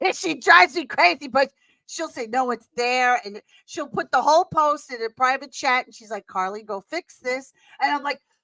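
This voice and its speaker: A raised, projected voice at a moderate pace, big loudness swings, lively intonation, dry, close sound without echo. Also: woman, high pitch for a woman. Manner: casual, animated, expressive.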